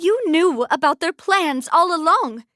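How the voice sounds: In a put-on character voice, a woman speaks fairly slowly at an extremely high pitch, her tone bright and sharp, her intonation lively, the sound dry and close with no echo.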